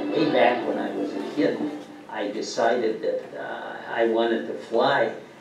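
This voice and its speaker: Noticeable background noise and audible room echo accompany a man speaking with an American accent. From Minnesota. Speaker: war veteran. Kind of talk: documentary interview. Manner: halting.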